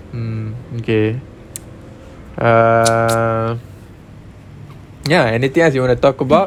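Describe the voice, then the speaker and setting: Amid noticeable background noise, a man speaks at a medium pitch and a very slow pace with ordinary pitch variation and long, frequent pauses. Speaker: podcast co-host. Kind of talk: casual chat.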